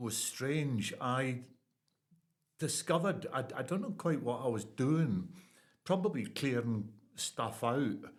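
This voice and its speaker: Lively in intonation, a man talks at a very slow pace with audible room echo. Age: 70s. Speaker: poet and retired builder. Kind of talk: casual interview chat. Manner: halting.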